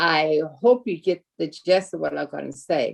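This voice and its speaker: Speaking at a fairly slow pace, a woman uses a fairly low-pitched voice with vocal fry. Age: 70s. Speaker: sorority founder, panelist. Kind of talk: panel discussion.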